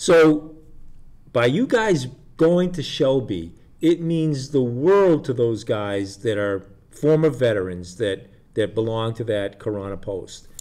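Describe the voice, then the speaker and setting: A man speaks at a very slow pace, his pitch medium. His tone is dark and mellow, with very wide pitch swings. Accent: American. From Shrewsbury, New Jersey. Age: 60s. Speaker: community TV host. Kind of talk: casual chat.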